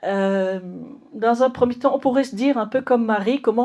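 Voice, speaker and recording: A woman speaks with a dark, mellow tone. Her pitch shows ordinary variation. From Mauritius. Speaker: nun and theologian. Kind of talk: lecture. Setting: conference hall with audience. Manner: hesitant, many fillers.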